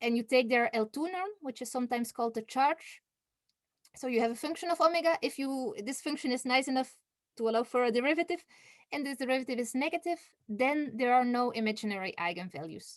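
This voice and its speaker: A woman with a high pitch talks at a very fast pace on a very clean recording with a silent background. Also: dry, close sound with no echo. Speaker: mathematics researcher. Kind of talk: conference talk. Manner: hesitant, many fillers.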